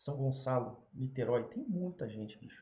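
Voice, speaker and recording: A man's somewhat breathy, dark and mellow voice at a medium pitch, in a Rio de Janeiro accent, at a moderate pace with ordinary pitch variation. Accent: carioca (Rio de Janeiro). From Brazil, Rio de Janeiro. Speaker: YouTuber. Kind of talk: casual unscripted commentary. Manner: casual, filler-heavy.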